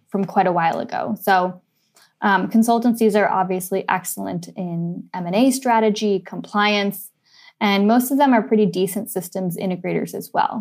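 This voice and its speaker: Ordinary pitch variation in a Californian accent. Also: woman, medium pitch for a woman, moderate pace. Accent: Californian American. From US, San Francisco. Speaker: advertising agency executive. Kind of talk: interview.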